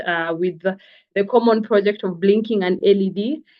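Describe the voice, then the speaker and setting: A woman's medium-pitched voice moves very slowly, its intonation fairly even. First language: not French (English or Swahili) (speaking French). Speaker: engineering graduate and startup co-founder. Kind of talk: online presentation. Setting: video call. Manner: hesitant, many fillers.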